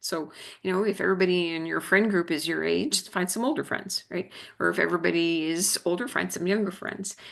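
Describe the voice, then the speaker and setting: A woman talks at a fairly quick pace with a fairly low pitch and some vocal fry. Her pitch varies in an ordinary way against a quiet background. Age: 60s. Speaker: physical therapy professor. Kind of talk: lecture. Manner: halting.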